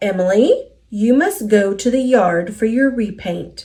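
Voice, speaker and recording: A woman uses a put-on character voice at a fairly high pitch. She speaks at a fairly slow pace. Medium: read story.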